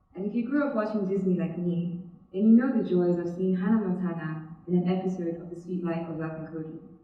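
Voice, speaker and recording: Over noticeable background noise and audible room echo, the speaker talks very fast with a Nigerian accent, hardly pausing, with ordinary pitch variation and big swings in loudness. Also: woman, fairly low pitch for a woman. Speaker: student speaker. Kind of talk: TEDx talk.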